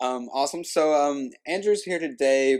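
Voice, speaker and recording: A man speaks at a fairly slow pace with a Kentucky accent. His pitch varies in an ordinary way. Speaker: podcast host. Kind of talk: casual interview. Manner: hesitant, many fillers.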